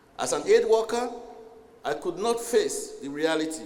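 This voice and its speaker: With music in the background and audible room echo, a man talks at a fairly slow pace, his pitch swinging very widely. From Sierra Leone. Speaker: UN official. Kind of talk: formal speech. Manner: formal.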